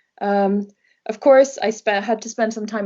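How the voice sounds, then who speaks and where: At a moderate pace, a woman speaks with a Norwegian accent. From Norway. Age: 20s. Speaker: travel blogger. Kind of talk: interview. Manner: hesitant, many fillers.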